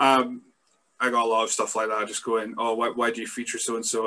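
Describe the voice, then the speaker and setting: At a fairly quick pace, a man talks with a Scottish accent. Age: 30s. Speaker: wrestling podcast host. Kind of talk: casual chat.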